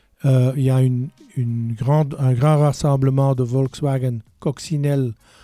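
With music in the background, a man speaks very slowly at medium pitch with fairly even intonation, the sound dry and close with no echo. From Belgium, Brabant. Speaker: museum curator. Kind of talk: radio interview.

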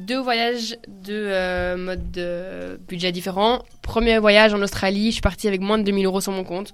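A woman talks at a moderate pace with fairly even intonation and a medium pitch. She has an ordinary speaking voice. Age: 20s. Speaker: student, backpacker. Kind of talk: radio talk show discussion.

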